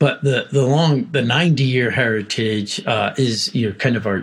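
Man with an American accent, medium pitch, ordinary pitch variation and a fairly slow pace, over noticeable background noise. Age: 50s. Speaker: technology executive. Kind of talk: interview. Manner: halting, many fillers.

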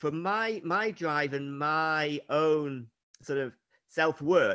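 A man speaks with an unremarkable speaking voice. It sits fairly high and shows ordinary pitch variation. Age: 60s. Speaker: triathlete and running coach. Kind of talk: casual chat.

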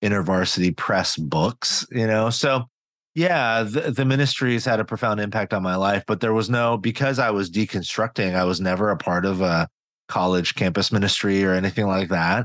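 An unremarkable speaking voice with an American accent goes at a moderate pace with ordinary pitch variation. The background is quiet and the sound dry and close, with no echo. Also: man. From US West Coast, Silicon Valley. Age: 40s. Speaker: pastor and author. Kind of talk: interview conversation.

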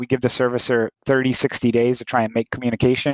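A man's unremarkable speaking voice, medium in pitch, at a fairly quick pace. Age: 40s. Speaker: note investor. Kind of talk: interview.

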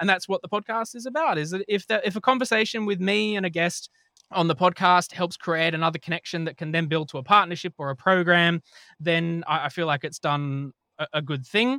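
A man with an Australian accent, high-pitched and bright, sharp in tone, at a fairly quick pace with lively intonation, in a dry, close, echo-free and very clean recording over a silent background. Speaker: podcast host and health tech company director. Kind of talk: casual chat.

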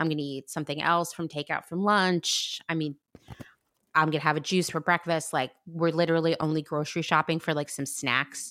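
On a very clean recording with a silent background, a woman with an American accent talks in a very deep, low pitch, her tone bright and sharp but her intonation flat and monotone. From Pennsylvania, US. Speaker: podcast host. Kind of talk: casual chat.

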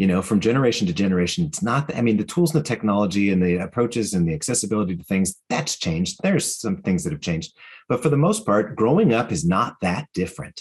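A man talks very fast with hardly any pauses. His fairly low voice makes very wide pitch swings. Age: 50s. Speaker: author and educator. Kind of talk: interview.

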